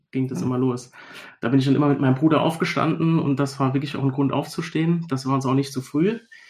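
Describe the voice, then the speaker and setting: A man with a medium-pitched, somewhat breathy voice speaks with fairly even intonation over a quiet background. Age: 30s. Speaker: teacher and collector. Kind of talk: casual interview.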